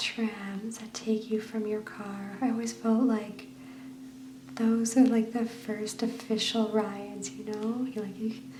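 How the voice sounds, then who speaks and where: Soft-spoken and relaxed in tone, the voice comes through noticeable background noise. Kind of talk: soft-spoken ASMR book flip, casual talk. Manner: soft-spoken, relaxed.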